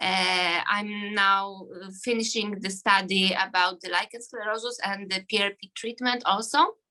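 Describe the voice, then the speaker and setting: A woman speaks at a fairly slow pace with hardly any pauses. Her tone is bright and sharp, her pitch medium and her intonation fairly even. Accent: Polish. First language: Polish. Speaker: gynecologist. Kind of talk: self-introduction. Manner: halting.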